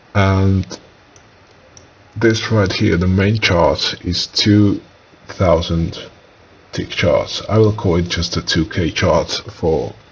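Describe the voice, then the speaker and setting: A man talks at a very slow pace with long, frequent pauses. Noticeable background noise runs under his voice. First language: non-English. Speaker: day trader. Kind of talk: trading tutorial, screen walkthrough. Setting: home, talking to screen recording. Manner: hesitant, many filler uhs.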